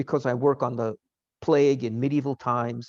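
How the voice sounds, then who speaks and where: A man speaks in a New York accent, the sound dry and close with no echo against a quiet background. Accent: American, New York. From US, New York. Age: 60s. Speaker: professor. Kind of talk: lecture. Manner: halting.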